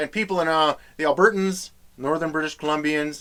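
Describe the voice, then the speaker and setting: Using ordinary pitch variation, a man with a fairly high pitch speaks in a Western Canadian accent. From Western Canada. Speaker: comedy host. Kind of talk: comedic talk to camera. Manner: casual, folksy.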